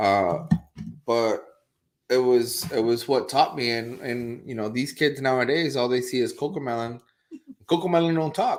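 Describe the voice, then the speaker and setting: Over background music, a man with a Spanish accent speaks at a medium pitch and moderate pace, with ordinary pitch variation. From Puerto Rico. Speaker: real estate agent, show co-host. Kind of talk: casual chat. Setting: live stream.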